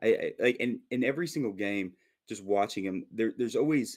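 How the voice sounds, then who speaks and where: The background is silent and the recording very clean. An American accent comes through in the speech. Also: man. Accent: Southern US with slight northern undertone. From Minnesota, US. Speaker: football fan commentator. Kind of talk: casual chat.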